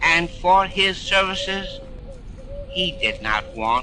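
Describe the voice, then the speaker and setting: With noticeable background noise behind him, a man delivers his words at a very slow pace. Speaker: mayor reading a eulogy on radio. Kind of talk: solemn radio eulogy reading. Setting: old radio archive recording.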